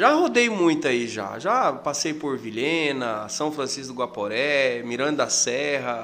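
In a normal speaking voice, the speaker goes at a fairly slow pace with hardly any pauses and ordinary pitch variation. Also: man, fairly high pitch for a man. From Mato Grosso, Brazil. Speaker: tour guide. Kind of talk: casual chat.

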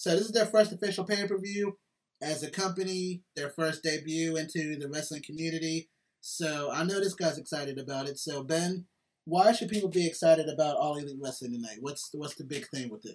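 With an American accent and a normal speaking voice, a man with a fairly high pitch talks at a fairly quick pace, using ordinary pitch variation and big swings in loudness. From Philadelphia, US. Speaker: podcast host. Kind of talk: casual chat.

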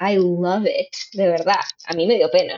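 A woman speaks at a fairly slow pace. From Venezuelan family, raised in Miami. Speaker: actress and comedian. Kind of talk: interview conversation. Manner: animated.

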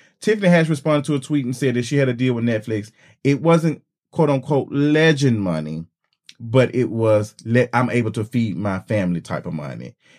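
An ordinary speaking voice with lively intonation moves at a fairly quick pace. The recording is very clean, with a silent background. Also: man, medium pitch for a man. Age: 30s. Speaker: podcast co-host. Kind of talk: casual chat.

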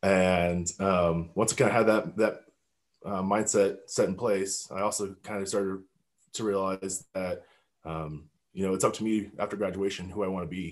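In a General American accent, a man speaks at a moderate pace with a very deep, low voice and monotone, flat intonation. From Colorado. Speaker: navy veteran. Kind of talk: interview. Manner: hesitant, many fillers.

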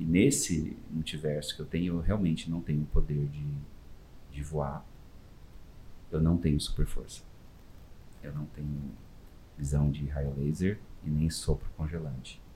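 A man speaks with a very deep, low pitch in a dark, mellow, somewhat breathy tone. He goes at a fairly slow pace with long, frequent pauses and fairly even intonation. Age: 40s. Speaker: volunteer costumed superhero, NGO founder. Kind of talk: interview.

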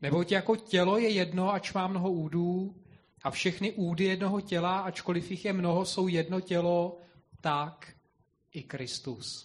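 Against a quiet background, a man with a high pitch talks at a fairly slow pace. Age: young. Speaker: congregation member reading scripture. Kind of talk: reading aloud.

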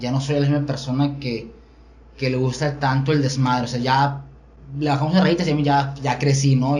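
Amid noticeable background noise and audible room echo, a man speaks at a moderate pace and medium pitch in a monotone, flat intonation. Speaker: podcast host. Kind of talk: casual chat. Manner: stutter.

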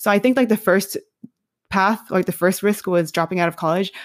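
A woman speaks at a medium pitch with ordinary variation. Her sound is dry and close, with no echo. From New York City. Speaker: curriculum developer. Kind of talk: interview. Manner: casual, many fillers.

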